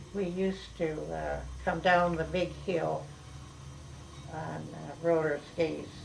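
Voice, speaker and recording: A woman with an Upper Midwest accent at a fairly slow pace, with long, frequent pauses. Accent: Upper Midwest American. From Clinton, Wisconsin. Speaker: local historical society founder. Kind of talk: oral history interview answer.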